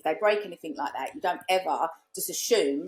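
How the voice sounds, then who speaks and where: The tone of this woman's speech is animated. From East London / Essex, England. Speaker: short-term rental business owner and investor. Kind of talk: casual podcast interview. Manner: animated storytelling with many fillers.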